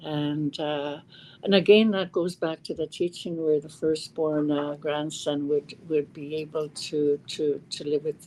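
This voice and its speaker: A woman's dark, mellow voice at a fairly slow pace. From Cross Lake, northern Manitoba, Canada (Cree community). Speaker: First Nations political leader. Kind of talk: podcast interview. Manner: halting, many repetitions and fillers.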